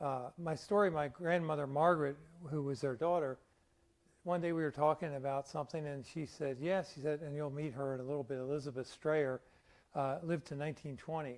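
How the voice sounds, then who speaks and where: Speaking with an American accent, a man talks at a fairly quick pace in a fairly high pitch with fairly even intonation. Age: 60s. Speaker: local historian. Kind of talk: public lecture. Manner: conversational, halting.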